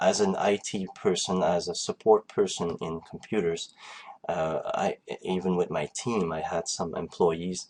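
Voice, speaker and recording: A man speaks with a French accent at a fairly slow pace. Noticeable background noise runs underneath. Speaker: online marketing coach. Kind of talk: conference call presentation. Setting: online group call. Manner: halting, many fillers.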